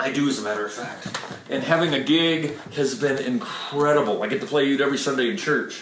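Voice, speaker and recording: A man's fairly high voice at a fairly quick pace, with noticeable background noise and audible room echo. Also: ordinary pitch variation. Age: 60s. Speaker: microtonal guitarist. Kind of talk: casual chat.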